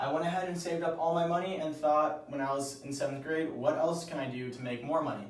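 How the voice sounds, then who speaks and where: Over noticeable background noise and audible room echo, a man with an American accent speaks at a fairly high pitch with ordinary pitch variation. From Southern California (San Diego area). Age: 20s. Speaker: student job applicant. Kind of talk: video application pitch. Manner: casual, informal.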